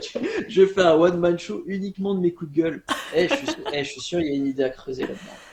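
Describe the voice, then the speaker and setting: Noticeable background noise surrounds a high-pitched man. He talks very fast with lively intonation. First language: not French (speaking French). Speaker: podcast co-host. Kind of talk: casual chat. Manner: halting, many repeated words.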